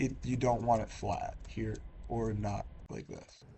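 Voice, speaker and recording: A man speaks at a very slow pace. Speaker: gaming video creator. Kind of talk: tutorial. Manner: casual, hesitant with fillers.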